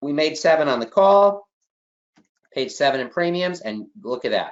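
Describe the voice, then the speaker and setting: A man at a moderate pace in a strong Chicago accent. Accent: heavy Chicago. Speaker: exam prep instructor. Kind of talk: online class lecture. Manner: emphatic, repetitive.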